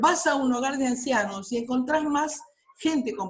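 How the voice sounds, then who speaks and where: The room echo is audible as a woman talks at a high pitch. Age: 60s. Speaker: workshop participant, retiree. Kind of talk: online workshop discussion.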